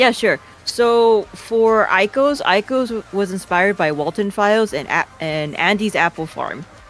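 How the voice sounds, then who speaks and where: A woman with a Hawaii accent talks at a fairly slow pace with hardly any pauses and lively intonation while music plays in the background. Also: medium pitch for a woman. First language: Hawaiian. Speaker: animator and series creator. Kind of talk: casual interview. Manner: halting, many false starts.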